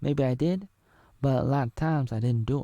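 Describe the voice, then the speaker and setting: A man at medium pitch with a dark, mellow tone and ordinary pitch variation, moderate pace, dry, close sound with no echo, very clean recording and silent background. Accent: American. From Oregon. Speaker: vlogger. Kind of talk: casual monologue.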